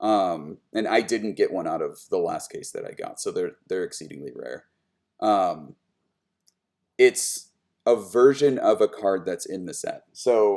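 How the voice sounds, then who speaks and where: A man at a fairly slow pace, with big swings in loudness. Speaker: streamer opening trading card packs. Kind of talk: live stream card opening commentary. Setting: live stream.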